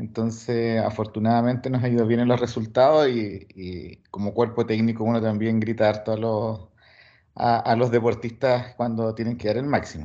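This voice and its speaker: The man's tone is dark and mellow. Audible room echo surrounds his voice. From Chile. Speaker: sports physiologist, coaching staff. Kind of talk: lecture.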